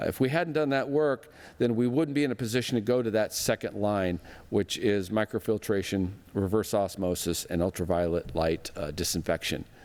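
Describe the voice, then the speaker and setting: A man with a fairly low voice speaks at a very even loudness, his intonation lively. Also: fairly quick pace. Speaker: sanitation district general manager. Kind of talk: presentation to business audience. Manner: fast; conversational, jokey.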